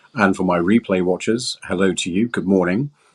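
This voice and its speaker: This voice has ordinary pitch variation and a moderate pace, captured on a very clean recording with a silent background. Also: man. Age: 60s. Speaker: crypto channel host. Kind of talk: live broadcast monologue. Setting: live stream.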